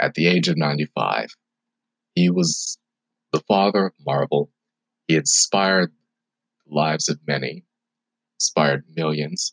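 A man's very deep, low-pitched voice with vocal fry, at a fairly slow pace, in a dry, close sound with no echo. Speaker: podcast host and college student. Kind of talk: casual solo podcast monologue. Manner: casual, chatty.

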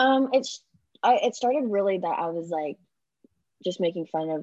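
This is an unremarkable speaking voice. The pace is fairly quick. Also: woman. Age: 20s. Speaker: content creator and actress. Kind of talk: casual chat.

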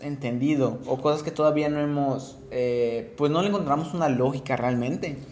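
A man with an ordinary speaking voice speaks at a moderate pace and a fairly high pitch. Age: 20s. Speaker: podcast co-host. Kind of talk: casual chat.

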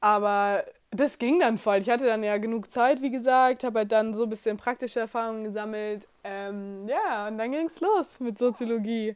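A woman with a fairly high pitch talks at a moderate pace with hardly any pauses and ordinary pitch variation. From Bavaria (near Munich). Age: 20s. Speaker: university student. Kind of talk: interview.

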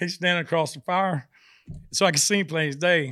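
A man with a Southern US accent talks at a fairly quick pace in a high pitch, his tone bright and sharp, his intonation fairly even, and the sound dry and close with no echo. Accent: Southern US (Georgia). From US South, South Georgia. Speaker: country singer. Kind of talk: casual interview chat. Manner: halting, many fillers.

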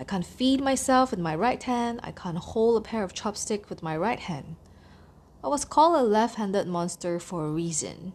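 At a moderate pace, a woman speaks in a medium pitch that swings very widely. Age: 30s. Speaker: podcaster. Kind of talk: personal podcast monologue.

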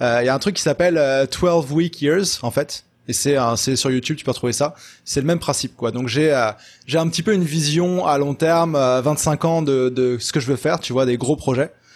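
A man talks in an ordinary speaking voice, fairly high in pitch with ordinary variation. His pace is moderate, and the recording is very clean with a silent background. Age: 20s. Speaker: web entrepreneur and consultant. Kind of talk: casual interview chat.

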